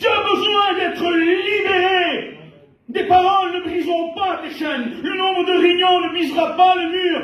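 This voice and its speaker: A man shouting at an extremely high pitch, fairly slow in pace with fairly even intonation, amid audible room echo and crowd noise in the background. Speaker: pastor. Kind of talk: sermon. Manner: loud.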